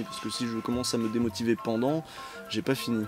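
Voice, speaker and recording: A fairly quick delivery with music playing in the background. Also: man. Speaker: video game web show host. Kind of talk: interview. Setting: video call. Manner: halting.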